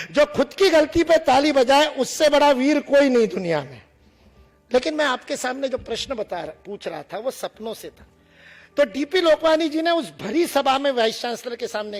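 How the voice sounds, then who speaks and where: With lively intonation, the speaker talks in a Marathi accent as music plays in the background. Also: man, big swings in loudness. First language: Marathi (speaking Hindi). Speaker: motivational speaker. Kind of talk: motivational speech to students. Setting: stage with audience. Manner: animated.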